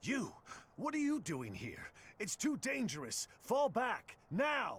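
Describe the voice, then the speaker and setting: A man's put-on character voice, extremely high in pitch, at a fairly slow pace. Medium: video game.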